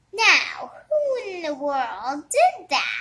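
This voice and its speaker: A woman puts on a character voice at an extremely high pitch. Her pitch swings very widely. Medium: read story.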